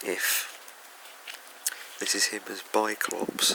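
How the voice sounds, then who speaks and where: Soft-spoken, a man with an English accent talks over noticeable background noise. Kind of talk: ASMR soft-spoken toy review. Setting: room with a fan running. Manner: soft-spoken, hesitant.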